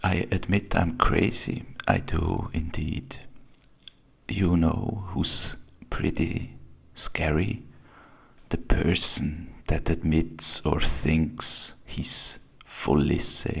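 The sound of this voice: Whispering very slowly, a man leaves long, frequent pauses.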